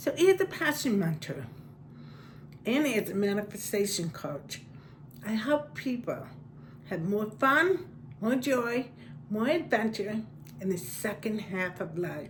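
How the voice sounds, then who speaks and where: Using a fairly high pitch with very wide pitch swings and vocal fry, a woman speaks with long, frequent pauses. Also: fairly slow pace. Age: 60s. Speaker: passion mentor and manifestation coach. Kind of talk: personal vlog talk.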